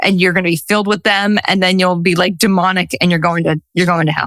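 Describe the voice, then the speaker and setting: A woman speaks at a medium pitch in a dry, close sound with no echo. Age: 40s. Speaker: intuitive coach and social worker. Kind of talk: podcast interview. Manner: animated.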